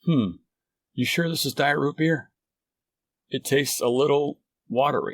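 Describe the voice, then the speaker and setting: A man's raspy, put-on character voice, fairly high in pitch with ordinary pitch variation, at a moderate pace with long, frequent pauses. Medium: read story.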